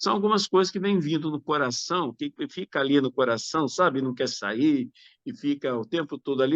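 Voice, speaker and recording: Against a quiet background, a man speaks at a fairly slow pace. His fairly high pitch moves in very wide swings. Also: dry, close sound with no echo. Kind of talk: webinar talk on discipleship.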